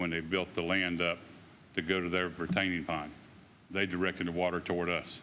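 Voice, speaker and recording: Speaking fairly quickly in a Southern US accent, a man with a very deep, low pitch keeps a monotone, flat intonation on a very clean recording with a silent background. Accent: US South. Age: 70s. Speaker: resident making public comment. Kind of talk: public comment.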